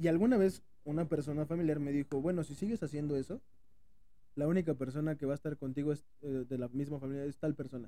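Speech comes at a very fast pace with ordinary pitch variation. The tone is dark and mellow. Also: man, fairly high pitch for a man. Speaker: podcast co-host. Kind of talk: casual chat. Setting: airport.

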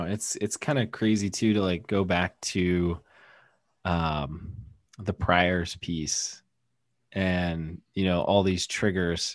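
A man with a very deep, low voice and an American accent speaks at a very slow pace, with long, frequent pauses over a quiet background. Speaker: wellness podcast co-host. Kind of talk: casual chat. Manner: animated.

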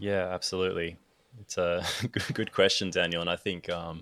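A man with an Australian accent, in a very clean recording with a silent background. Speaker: photographer and filmmaker. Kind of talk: casual chat.

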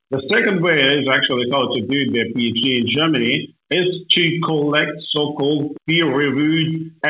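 A man's fairly high voice with a Ukrainian accent, slowish in pace, very even in loudness, with ordinary pitch variation and audible room echo. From northern Ukraine. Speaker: agribusiness owner. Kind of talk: interview.

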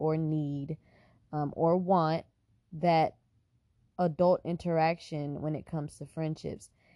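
At a very slow pace, a woman speaks in a fairly low pitch with a dark, mellow tone and a dry, close sound with no echo. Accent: American. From Texas, Houston. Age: 20s. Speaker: podcast host. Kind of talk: casual chat.

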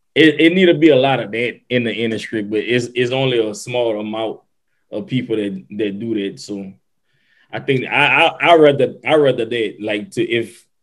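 A man speaks in an unremarkable speaking voice at a moderate pace. His pitch is medium, with ordinary pitch variation. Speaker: podcast co-host. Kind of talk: casual banter.

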